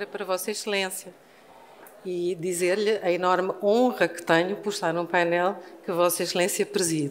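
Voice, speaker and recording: Her intonation fairly even, a woman speaks in a fairly low pitch. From Portugal, Lisbon. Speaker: law professor. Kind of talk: conference panel talk. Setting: university hall with audience. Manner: deliberately slow.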